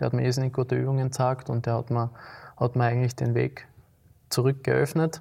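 A somewhat breathy man at medium pitch, dark and mellow in tone, flat and monotone, very even in loudness, with long, frequent pauses, on a very clean recording with a silent background. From Austria, Graz (Liebenau). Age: 20s. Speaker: amateur football goalkeeper. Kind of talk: casual interview. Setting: city council chamber.

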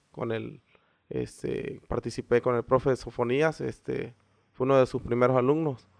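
A man at medium pitch speaks in a plain, everyday voice, at a fairly slow pace with fairly even intonation. The sound is dry and close, with no echo. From Mexico, Veracruz. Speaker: CrossFit coach and gym founder. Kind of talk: interview.

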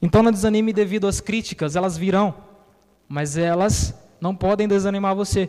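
A man's high-pitched voice at a moderate pace, with fairly even intonation. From Bahia, Brazil. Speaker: pastor. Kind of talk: sermon.

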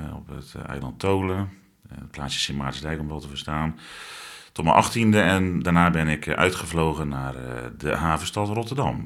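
Big swings in loudness mark the delivery of a man with a very deep, low pitch who speaks at a moderate pace with lively intonation. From Zeeland. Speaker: interviewee sharing mental health experience. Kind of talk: personal testimony interview.

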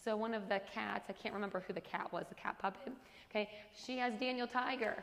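A woman speaks at a fairly quick pace and fairly high pitch with ordinary pitch variation. Noticeable background noise runs underneath. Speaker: women's Bible study teacher. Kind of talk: Bible study teaching. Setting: group gathering with amplified sound.

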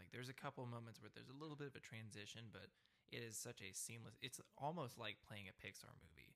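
Speaking very fast, a man has a medium pitch, ordinary pitch variation, and vocal fry. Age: 20s. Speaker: podcast host. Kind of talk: casual chat.

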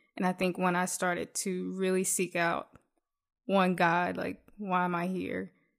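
Her pitch fairly low, a woman with a Southern US accent speaks at a moderate pace in a flat monotone over a very clean recording with a silent background. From US South, south Mississippi. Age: 20s. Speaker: entrepreneur. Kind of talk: casual interview.

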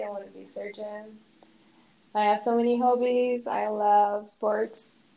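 A woman's fairly high voice in a monotone, flat intonation. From Morocco. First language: Arabic. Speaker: university student. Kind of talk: interview. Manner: halting.

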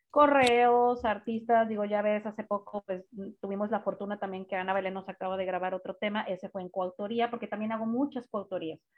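Speaking at a moderate pace, a woman uses a plain, everyday voice that sits fairly high in pitch. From Guadalajara, Mexico. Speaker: singer-songwriter and vocal coach. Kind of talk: casual interview.

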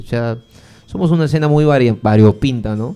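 With a dark, mellow tone, a man speaks at medium pitch and ordinary pitch variation. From Piura, northern Peru. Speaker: rock fan community organizer. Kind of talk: casual interview chat.

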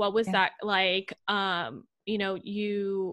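A woman with a medium pitch talks at a very slow pace on a very clean recording with a silent background. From Puerto Rico. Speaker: podcast host. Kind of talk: casual interview chat.

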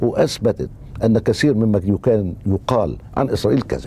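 There is noticeable background noise as a man speaks fairly slowly at a fairly low pitch. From Egypt, Cairo. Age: 60s. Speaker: political writer and journalist. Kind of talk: interview.

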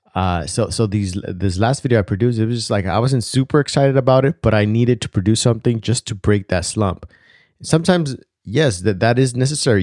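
A man with a non-native accent speaks at a fairly quick pace and medium pitch with ordinary pitch variation, the very clean recording dry and close with no echo and a silent background. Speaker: video creator; wedding videographer. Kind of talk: casual monologue. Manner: hesitant, many fillers; casual, reflective.

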